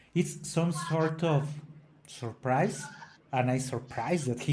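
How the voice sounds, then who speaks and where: A man speaks in a non-native accent at a fairly slow pace. His pitch is fairly high, and room echo is audible. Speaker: opera singer and podcast co-host. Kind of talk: casual educational discussion. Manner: halting, with frequent self-corrections.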